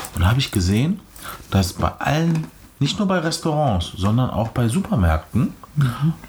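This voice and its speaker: Here a man of medium pitch speaks at a moderate pace, his loudness very even while his pitch swings very widely. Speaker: podcast host. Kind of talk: casual chat. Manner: talkative.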